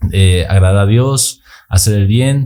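This man's voice is dark and mellow. It sounds somewhat breathy, with fairly even intonation. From Bolivia, Sucre. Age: 20s. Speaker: long-distance cyclist. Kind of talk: casual interview.

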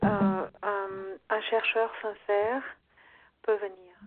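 The woman's voice sits at a fairly high pitch. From Brazil. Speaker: yoga teacher. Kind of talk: interview.

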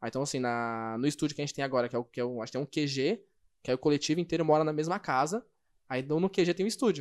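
A man's fairly high voice at a very fast pace with ordinary pitch variation, dry and close with no echo, on a very clean recording against a silent background. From São Paulo, Brazil. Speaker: breaking photo and video producer. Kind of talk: casual interview.

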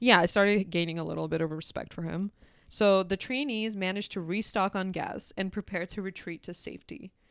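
A woman talks at a fairly quick pace in a medium pitch with ordinary pitch variation, the sound dry and close with no echo. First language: not English. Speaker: podcast host. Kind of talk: casual chat, anime plot recap. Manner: casual, laughing often.

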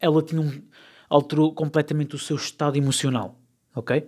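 Against a very clean recording with a silent background, a man with a European Portuguese accent speaks very fast in a dark, mellow tone with fairly even intonation. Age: 20s. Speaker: podcast host. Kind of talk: casual solo podcast monologue. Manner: halting, with many repetitions and fillers.

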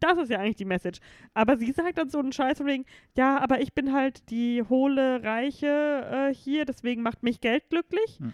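A woman speaks with a high pitch against a quiet background. The sound is dry and close, with no echo. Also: ordinary pitch variation, moderate pace. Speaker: film podcast co-host. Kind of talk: casual chat.

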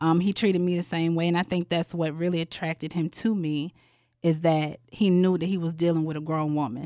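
A woman's dark, mellow voice of fairly low pitch, fairly quick with fairly even intonation, on a very clean, dry, close recording with no echo and a silent background. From Atlanta, Georgia. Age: 30s. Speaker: guest sharing dating story. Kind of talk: casual storytelling interview.

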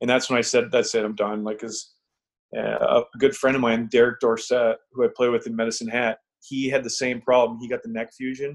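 With little pitch movement, a man speaks at a fairly quick pace. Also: medium pitch for a man.

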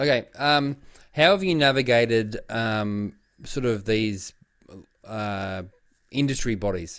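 In an Australian accent, a man speaks very slowly at a medium pitch with lively intonation and long, frequent pauses. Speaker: podcast co-host. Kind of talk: casual chat.

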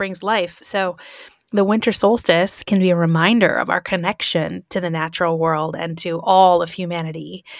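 In an American accent, a plain, everyday voice talks at a moderate pace with fairly even intonation. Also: woman. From Michigan, US Midwest. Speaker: podcast host. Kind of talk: casual chat.

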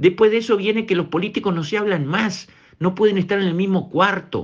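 A high-pitched man talks at a moderate pace, the background around him quiet. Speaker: radio commentator. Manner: emphatic, repetitive, rhetorical pleading; indignant, accusatory.

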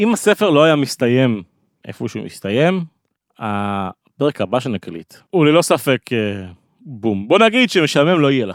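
Speaking at a fairly slow pace, a man with a fairly high voice swings his pitch very widely. The recording is very clean with a silent background, and the sound is dry and close with no echo. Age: 30s. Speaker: podcast host. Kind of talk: casual chat.

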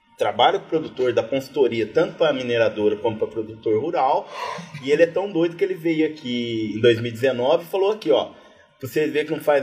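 Over noticeable background noise, a man talks fairly quickly at a fairly high pitch with lively intonation. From interior of São Paulo state, Brazil (Batatais). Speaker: agronomy professor. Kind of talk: casual chat. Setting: live recording with audience at university event.

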